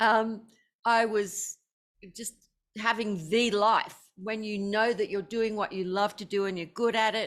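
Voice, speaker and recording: With a fairly high pitch, a woman talks fairly slowly in a monotone, flat intonation, leaving long, frequent pauses. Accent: Australian. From Australia. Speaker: author and musician. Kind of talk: interview.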